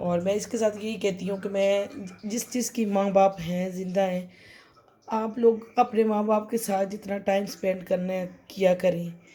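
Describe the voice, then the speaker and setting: A woman speaks at a fairly slow pace in a flat monotone. Her tone is dark and mellow. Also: medium pitch for a woman. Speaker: vlogger. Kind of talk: casual vlog talk.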